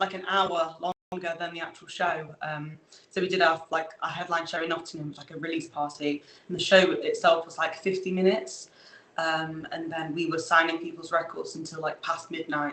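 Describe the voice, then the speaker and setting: A woman speaks at a moderate pace in a fairly low pitch, her intonation monotone and flat, with big swings in loudness. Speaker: musician. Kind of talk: interview. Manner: hesitant, many fillers.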